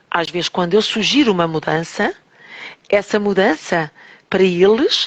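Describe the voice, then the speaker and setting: Her pitch varies in an ordinary way as the woman talks at a fairly slow pace. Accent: European Portuguese. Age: 60s. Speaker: teacher and holistic therapist. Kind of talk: radio interview.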